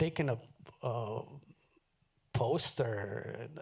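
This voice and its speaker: Somewhat breathy man with a Spanish accent, ordinary pitch variation, and a very clean recording over a silent background. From Mexico, moved to Los Angeles at fifteen. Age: 70s. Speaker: artist. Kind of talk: onstage conversation. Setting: stage with audience.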